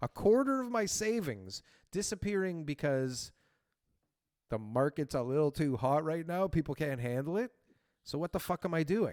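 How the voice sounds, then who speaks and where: A man with a Canadian accent speaks at a moderate pace, with long, frequent pauses. His fairly high pitch swings very widely, on a very clean recording with a silent background. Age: 20s. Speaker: real estate show co-host. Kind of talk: casual podcast discussion.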